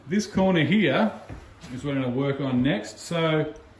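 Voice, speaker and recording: A man speaks at a fairly slow pace with ordinary pitch variation. The room echo is audible, and background noise is noticeable. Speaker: model railway hobbyist vlogger. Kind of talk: casual video walkthrough.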